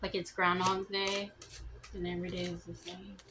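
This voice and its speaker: A mumbling woman of medium pitch at a fairly slow pace, with noticeable background noise. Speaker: tarot reader. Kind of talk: tarot reading. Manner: casual, halting.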